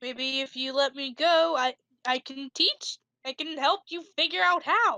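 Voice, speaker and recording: A woman in a put-on character voice, high in pitch at a moderate pace, with a dry, close sound and no echo. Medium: actual play. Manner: blunt, forceful.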